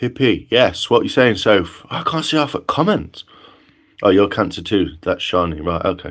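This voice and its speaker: Relaxed in tone, a man speaks at a moderate pace in a medium pitch with very wide pitch swings. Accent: Nottinghamshire. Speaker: livestreamer. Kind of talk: casual chat. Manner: relaxed, hesitant with fillers.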